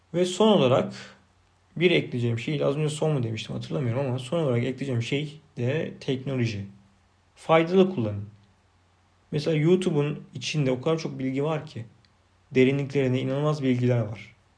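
Somewhat breathy and medium in pitch, a man talks at a fairly quick pace. Audible room echo carries his voice. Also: ordinary pitch variation. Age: 30s. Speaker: podcaster. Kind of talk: unscripted solo monologue. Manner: unpolished, self-repeating, swallowing words.

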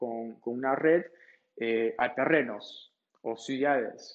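A man with a fairly high pitch and ordinary pitch variation speaks at a very slow pace. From Peru. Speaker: video game company co-founder. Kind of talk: interview. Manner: halting with many repeated words.

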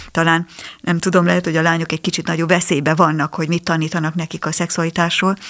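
A woman's fairly low voice, very fast and monotone, with flat intonation. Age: 60s. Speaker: psychologist. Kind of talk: radio interview. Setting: studio. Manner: halting.

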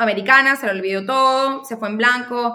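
A woman with a high voice speaks at a moderate pace and ordinary pitch variation. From Venezuela, Caracas. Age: 30s. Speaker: marketing specialist. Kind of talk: interview conversation.

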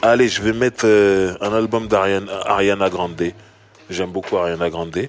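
The man talks at a fairly slow pace with long, frequent pauses, his fairly low voice holding a fairly even intonation. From Sarcelles, Paris suburbs, France. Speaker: rapper and podcast host. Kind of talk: casual chat.

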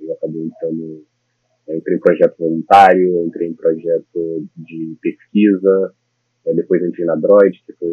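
A man speaks at a moderate pace. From Brasília, Brazil. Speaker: computer science master's student. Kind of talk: interview. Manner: halting, many fillers.

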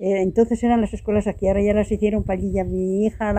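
A woman talks at a very fast pace with fairly even intonation. Her pitch is medium and her tone dark and mellow. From Spain, Salamanca province (Gallegos de Argañán). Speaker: elderly villager interviewee. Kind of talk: casual conversation.

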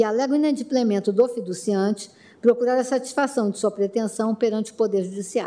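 In an unremarkable speaking voice, a woman with a fairly high pitch talks at a fairly quick pace. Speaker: prosecutor general. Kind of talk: oral argument. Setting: court plenary session. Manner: formal.

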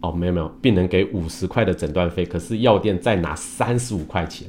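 His very deep, low voice keeps a moderate pace and shows ordinary pitch variation. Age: 50s. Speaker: Chinese medicine doctor and engineer. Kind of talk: livestream talk. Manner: many filler sounds.

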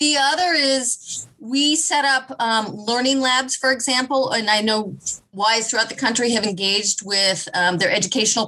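A woman with an American accent at a moderate pace, with noticeable background noise. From US Midwest, Kansas City. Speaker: nonprofit chief executive. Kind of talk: interview conversation.

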